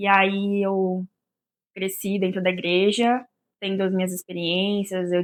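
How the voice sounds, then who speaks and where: A woman speaks at a fairly slow pace and a medium pitch. Her intonation stays monotone and flat over a very clean recording with a silent background. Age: 20s. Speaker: podcast guest. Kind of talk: casual chat.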